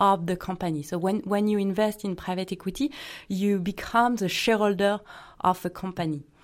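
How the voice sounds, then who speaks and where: A woman speaks at a medium pitch with fairly even intonation. The recording is very clean, with a silent background. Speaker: investment officer. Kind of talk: interview. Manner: halting, many fillers.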